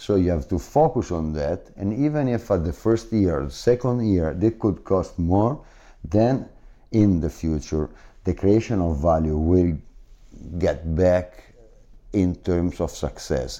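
In an Italian accent, a man with a very deep, low pitch and a dark, mellow tone speaks at a fairly slow pace with lively intonation. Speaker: business executive. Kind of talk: interview. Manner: halting, with frequent fillers.

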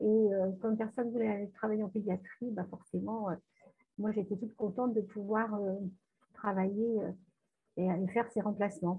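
At a moderate pace and a medium pitch, a woman speaks in a monotone, flat way, leaving long, frequent pauses. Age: 50s. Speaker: nurse and hypnotherapist. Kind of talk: testimony.

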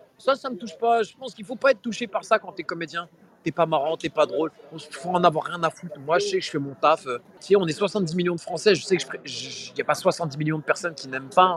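A man's high, animated voice at a fairly quick pace, with lively intonation and big swings in loudness, dry and close with no echo, over noticeable background noise. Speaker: comedian and radio host. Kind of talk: casual interview. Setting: outdoors on a street. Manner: animated, repeats words.

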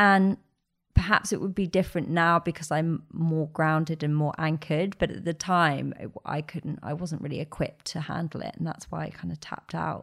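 At a moderate pace, a woman talks at a fairly low pitch in an ordinary speaking voice. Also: fairly even intonation. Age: 30s. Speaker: podcaster and author. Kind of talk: casual interview chat.

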